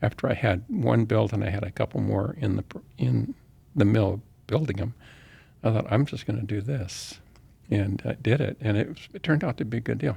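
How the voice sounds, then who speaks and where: Dark and mellow with vocal fry, the voice carries an American accent and lively intonation. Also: man, fairly low pitch for a man. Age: 70s. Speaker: real estate developer and Vietnam veteran. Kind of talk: interview conversation. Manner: halting, with frequent restarts.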